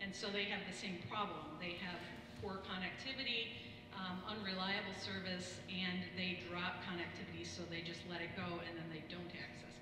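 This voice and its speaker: A woman's voice carries audible room echo and noticeable background noise. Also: moderate pace. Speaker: health center administrator. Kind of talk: roundtable discussion. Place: hall.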